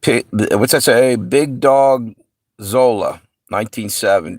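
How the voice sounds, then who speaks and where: A man speaks very slowly at a medium pitch with ordinary pitch variation and a slight New York accent, on a very clean recording with a silent background. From US Mid-Atlantic (Pennsylvania/Delaware area). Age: 60s. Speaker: livestream host. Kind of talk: casual chat. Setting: live stream.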